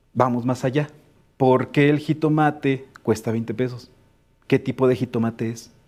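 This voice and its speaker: A man speaks at a moderate pace in an ordinary speaking voice, his pitch medium and his intonation fairly even. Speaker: education specialist. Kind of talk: webinar discussion.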